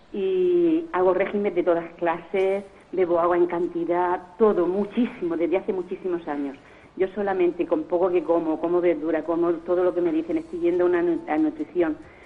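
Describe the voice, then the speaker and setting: A woman's fairly low, fairly even voice amid noticeable background noise. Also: moderate pace. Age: 60s. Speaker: caller. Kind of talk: call-in question. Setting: phone call. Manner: halting.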